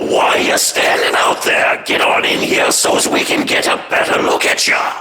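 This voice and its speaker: A put-on character voice at a moderate pace with hardly any pauses, over loud background noise and with a clear echo. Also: man. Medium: comedy sketch. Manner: drawling, coarse.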